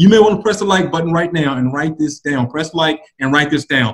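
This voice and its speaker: Over a quiet background, a somewhat breathy man speaks in an animated tone with very wide pitch swings. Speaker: public speaking coach. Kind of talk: instructional casual chat. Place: home room. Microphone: webcam.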